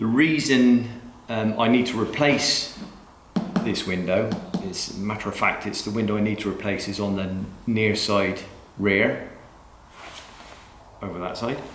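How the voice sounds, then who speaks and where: Speaking with a strong West Country accent, a man with a fairly low pitch uses fairly even intonation and long, frequent pauses, with audible room echo and noticeable background noise. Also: fairly slow pace. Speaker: DIY car mechanic YouTuber. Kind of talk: tutorial. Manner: casual, chatty.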